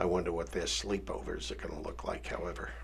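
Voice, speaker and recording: A man's voice with audible room echo. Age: 70s. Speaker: political candidate. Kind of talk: interview. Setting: radio studio.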